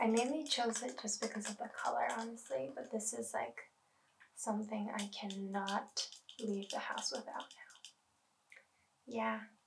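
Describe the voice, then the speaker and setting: Soft-spoken and at a moderate pace, a woman with a fairly high pitch, lively intonation and vocal fry leaves long, frequent pauses against noticeable background noise. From Canada. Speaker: art student; product reviewer. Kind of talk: ASMR product review. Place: home room.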